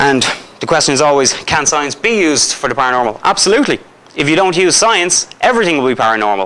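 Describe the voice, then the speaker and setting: With an Irish accent and lively intonation, a man talks at a very fast pace over noticeable background noise. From Ireland. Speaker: paranormal investigator. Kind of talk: lecture. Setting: school hall with live audience. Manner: conversational, jokey with audience.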